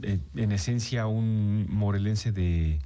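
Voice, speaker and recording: His intonation is lively. The man's voice sits fairly low in pitch, with a dark, mellow tone. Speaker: radio host. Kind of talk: radio interview host talk.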